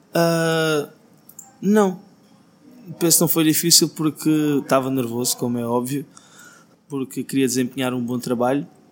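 A man speaks at a fairly slow pace with a fairly high pitch, ordinary pitch variation, and long, frequent pauses. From Portugal, Alentejo (Beja). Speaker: singer-songwriter. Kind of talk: interview.

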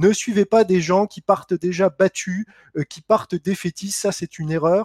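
The recording sounds dry and close with no echo as a man with a high pitch talks at a fairly slow pace, his pitch varying in an ordinary way. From France, Lorraine (Lunéville). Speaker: entrepreneur and author. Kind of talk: interview.

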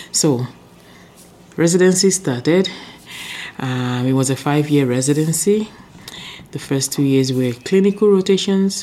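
With noticeable background noise behind her, a woman with a very deep, low pitch speaks at a moderate pace with lively intonation and long, frequent pauses. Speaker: chief medical officer, preventive medicine doctor. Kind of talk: casual interview.

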